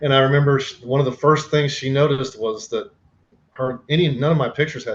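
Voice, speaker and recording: With an American accent, a man speaks at a fairly quick pace and medium pitch. His voice is somewhat breathy. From Oklahoma, US. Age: 60s. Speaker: artist and printmaker, teacher. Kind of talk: audition interview.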